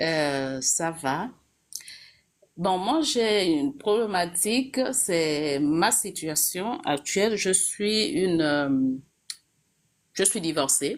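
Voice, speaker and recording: Speaking at a very slow pace with long, frequent pauses, a woman holds a medium pitch. Her pitch swings very widely while her loudness stays very even. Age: 40s. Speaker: caller, executive secretary. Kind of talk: personal testimony. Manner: hesitant, many fillers.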